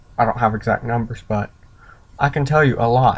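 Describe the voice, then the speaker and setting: A man's medium-pitched voice carries fairly even intonation. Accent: American. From US South. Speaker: vlogger. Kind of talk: opinion rant vlog.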